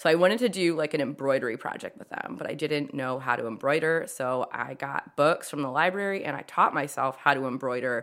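With an American accent, a woman talks at a fairly quick pace. Her pitch is very deep and low. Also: very clean recording, silent background. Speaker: art teacher and potter. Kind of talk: casual interview chat. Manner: loud talker, interrupts, jumps around.

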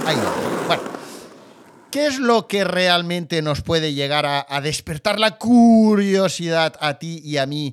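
Recorded with a dry, close sound and no echo, a man with a high pitch speaks in an animated tone at a fairly slow pace. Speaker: podcast host. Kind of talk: casual monologue.

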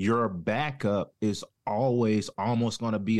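Speaking with a Southern US accent, a man uses a medium pitch and ordinary pitch variation against a quiet background. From North Carolina. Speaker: former deputy, now plumber. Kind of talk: casual interview chat.

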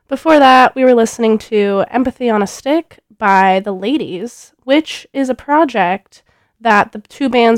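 In an unremarkable speaking voice, someone talks at a fairly slow pace with ordinary pitch variation, recorded dry and close with no echo over a very clean, silent background. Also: woman. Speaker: radio DJ. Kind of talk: radio DJ patter introducing songs. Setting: radio studio. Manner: casual, chatty; relaxed, laid-back, with filler sounds and laughs.

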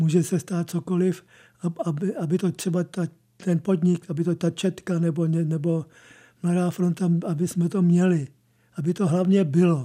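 A man's high-pitched, dark, mellow voice, monotone and flat in intonation, at a moderate pace. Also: very clean recording, silent background. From Prague. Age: 70s. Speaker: press photographer. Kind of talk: radio interview. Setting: studio. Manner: halting.

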